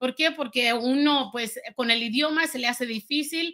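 A woman speaks in a raised, projected voice, her high pitch carrying a bright, sharp tone. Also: quiet background. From rural Guanajuato, Mexico. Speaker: entrepreneur. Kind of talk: testimony. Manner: halting, many fillers. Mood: reflective, earnest storytelling.

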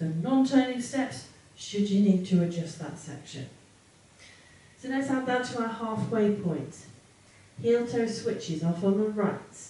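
Audible room echo surrounds a woman who talks at a fairly slow pace, leaving long, frequent pauses. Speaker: dance instructor. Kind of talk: tutorial. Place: home room.

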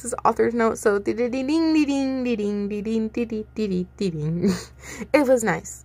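A natural reading voice comes through in this clip.

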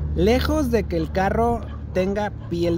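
A woman speaks very slowly. The sound is dry with no echo, and background noise is noticeable. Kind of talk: casual vlog chat. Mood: annoyed, complaining about product. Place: street. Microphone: phone near.

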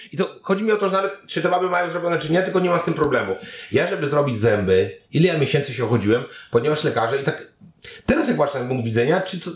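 In a Polish accent, a man talks at a very fast pace with a fairly high pitch, very wide pitch swings and vocal fry, with audible room echo. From Poland. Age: 40s. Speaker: internet content creator and reporter; podcast guest. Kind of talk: interview. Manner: casual, animated. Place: home room.

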